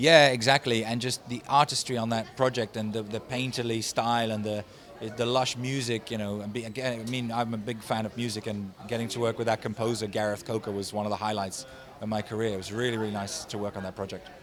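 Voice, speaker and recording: A man's medium-pitched, monotone, flat delivery at a very fast pace, with noticeable background noise. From Netherlands. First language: Dutch. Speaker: voice actor and animation director. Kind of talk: casual interview. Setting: convention.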